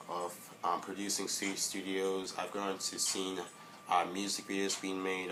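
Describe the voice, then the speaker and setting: In a room with audible echo, a man speaks in a very deep, low voice. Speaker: vlogger. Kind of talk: casual vlog monologue. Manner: halting, stuttering a little; many filler words.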